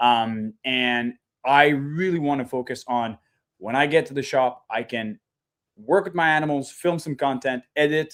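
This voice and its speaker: A man's fairly high voice in a French-Canadian accent, at a moderate pace with ordinary pitch variation, on a very clean recording with a silent background. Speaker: reptile breeder. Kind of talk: casual interview chat.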